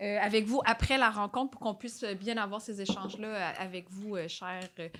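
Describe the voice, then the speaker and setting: Her intonation fairly even, a woman speaks at a moderate pace with a medium pitch. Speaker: citizen speaking at council meeting. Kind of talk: public comment at council meeting.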